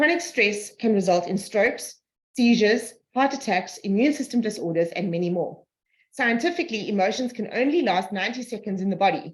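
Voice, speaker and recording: Somewhat breathy and fairly high in pitch, a woman speaks at a fairly quick pace with lively intonation. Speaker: energy healing practitioner. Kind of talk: reading aloud; group video call discussion. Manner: fast.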